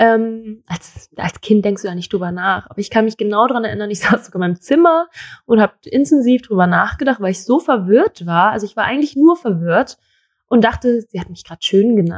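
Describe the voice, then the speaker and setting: In a normal speaking voice, a woman talks at a fairly quick pace with a fairly high pitch, lively intonation and big swings in loudness, in a dry, close sound with no echo. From Germany, Thai-born. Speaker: model. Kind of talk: interview.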